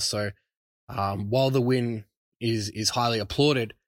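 A man speaks with an Australian accent. His pitch is medium, with ordinary pitch variation. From Brisbane, Australia. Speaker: sports podcast host. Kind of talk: casual solo sports podcast. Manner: casual, hesitant with fillers.

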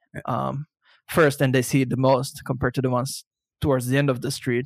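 The intonation is monotone and flat at a moderate pace. The sound is dry and close, with no echo. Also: man. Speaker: podcast co-host, SEO blogger. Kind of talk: casual chat. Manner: loud; halting, many repeated words.

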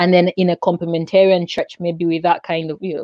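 With monotone, flat intonation, a woman talks at a fairly low pitch. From Zambia. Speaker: blogger and YouTuber on evangelism. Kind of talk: casual chat. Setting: video call.

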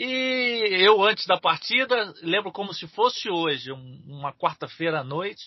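A man's lively intonation at a fairly slow pace. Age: 40s. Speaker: football radio commentator. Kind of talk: casual chat.

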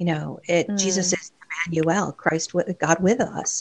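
A woman's fairly low-pitched, a normal speaking voice, at a moderate pace. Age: 50s. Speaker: writer and activist. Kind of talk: casual chat.

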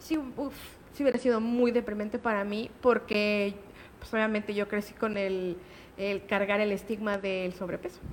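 Against noticeable background noise, the speech comes at a fairly slow pace with fairly even intonation. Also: woman, medium pitch for a woman. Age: 30s. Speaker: patient sharing testimony, digital marketer. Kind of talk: personal testimony in radio interview. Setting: radio studio.

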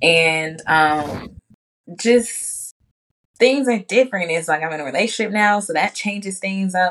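With a plain, everyday voice, a woman speaks fairly slowly at a medium pitch, her intonation lively. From Chicago. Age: 20s. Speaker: entrepreneur and spiritual advisor. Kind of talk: casual chat.

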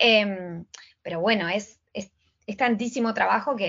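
Her voice is a plain, everyday voice: a woman at medium pitch, moderate pace and fairly even intonation. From Argentina, Patagonia (Trelew, Chubut). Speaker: Instagram coach and entrepreneur. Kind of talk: casual interview.

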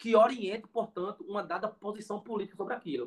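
A bright, sharp tone in a raised, projected voice. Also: man. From Pernambuco interior, Brazil. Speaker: education professor. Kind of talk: interview conversation. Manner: halting, many fillers.

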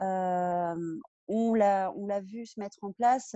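A woman with an unremarkable speaking voice holds a medium pitch and fairly even intonation. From Brittany, France. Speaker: real estate professional. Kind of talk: podcast interview.

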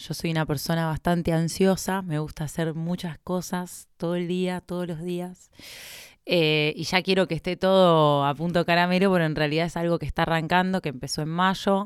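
A Rioplatense accent at a moderate pace, monotone and flat in intonation, on a very clean recording with a silent background. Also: woman, fairly low pitch for a woman. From Argentina, Buenos Aires province. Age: 30s. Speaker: doctor. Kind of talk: casual interview.

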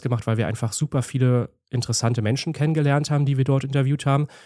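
The recording is very clean with a silent background, and a man's pitch moves with ordinary variation. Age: 30s. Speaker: landscape photographer and YouTuber. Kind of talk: casual interview chat.

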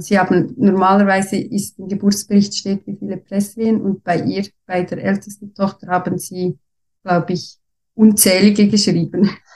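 At a moderate pace, a woman speaks in a somewhat breathy, medium-pitched voice with flat, monotone intonation. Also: big swings in loudness. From Switzerland. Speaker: former nurse and mother sharing birth story. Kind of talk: personal birth story in interview. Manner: halting, many fillers.

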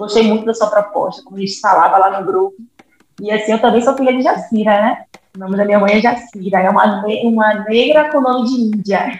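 A woman with an unremarkable speaking voice talks at a fairly high pitch with ordinary pitch variation. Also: fairly quick pace. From Salvador, Bahia, Brazil. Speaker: community organizer. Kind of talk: interview.

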